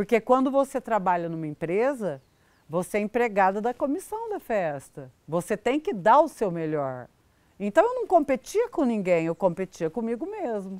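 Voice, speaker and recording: Over a quiet background, a woman with a fairly high voice speaks at a moderate pace, her pitch swinging very widely, in a dry sound with no echo. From Brazil. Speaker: rodeo announcer. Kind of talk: interview answer. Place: garden.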